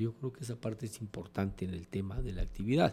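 A man speaks at a moderate pace. His voice is fairly low in pitch, with a dark, mellow tone. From Mexico, Comitán, Chiapas. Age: 60s. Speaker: politician. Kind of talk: interview.

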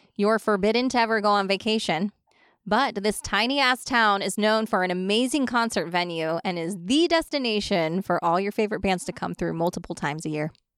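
A woman's plain, everyday voice at a medium pitch, with lively intonation, dry and close with no echo, on a very clean recording with a silent background. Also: fairly quick pace. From Ohio. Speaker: business owner and podcast host. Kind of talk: casual chat.

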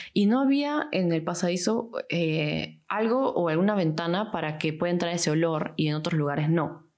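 Audible room echo surrounds a woman with a fairly low pitch. She speaks with hardly any pauses and very even loudness. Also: lively intonation, moderate pace. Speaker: architecture student. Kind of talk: casual chat.

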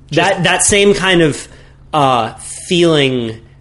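A man speaks with an American accent and lively intonation. Noticeable background noise is present. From Santa Cruz, California. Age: 20s. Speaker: big wave surfer and podcast host. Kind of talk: casual chat.

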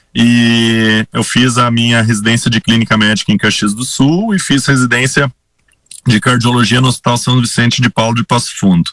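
The delivery comes in an unremarkable speaking voice at a moderate pace with fairly even intonation, in a dry, close sound with no echo. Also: man, medium pitch for a man. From Rio Grande do Sul, Brazil (Sinimbu, near Santa Cruz). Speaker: cardiologist. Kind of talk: radio interview.

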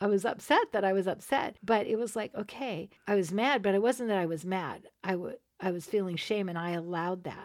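A woman with a normal speaking voice talks at a fairly quick pace and a medium pitch, with ordinary pitch variation and hardly any pauses. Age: 60s. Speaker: podcast co-host, abuse survivor. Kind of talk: casual chat.

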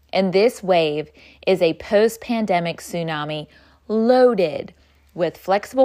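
A woman's medium-pitched voice with an animated tone and ordinary pitch variation, on a very clean recording with a silent background. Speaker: podcast host and workplace culture consultant. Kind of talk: dramatic narration of a guided visualization, urgent and vivid.

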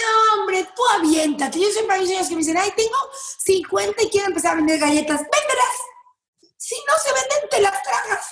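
A woman's extremely high voice in a Mexican accent, with very wide pitch swings, at a moderate pace. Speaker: lawyer and social media personality. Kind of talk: interview. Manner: animated.

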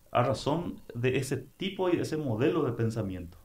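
The man's fairly slow delivery echoes audibly around the room. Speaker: broadcaster and political scientist. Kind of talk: casual interview.

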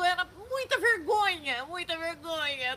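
Using a raised, projected voice, a woman with an extremely high pitch speaks at a fairly slow pace with lively intonation. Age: 60s. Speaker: witch and show host. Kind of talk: casual chat. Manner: animated.

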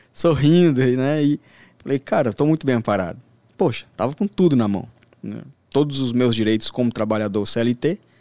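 Lively in intonation, a man talks at a moderate pace and medium pitch, his dark, mellow tone caught in a dry, close sound with no echo. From Brasília outskirts, Brazil. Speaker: sports trader. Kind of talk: podcast interview.

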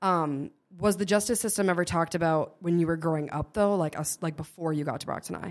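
In an American accent, a woman talks at a very fast pace with a fairly low pitch and ordinary pitch variation. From Massachusetts, Norton. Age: 20s. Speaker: podcast host. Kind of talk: casual interview conversation.

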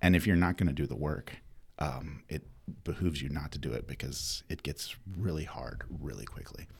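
A man with an American accent speaks at a moderate pace in a very deep, low pitch, with vocal fry and ordinary pitch variation. The recording is very clean, with a silent background. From North Carolina. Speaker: former game show champion and alumnus. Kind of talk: interview.

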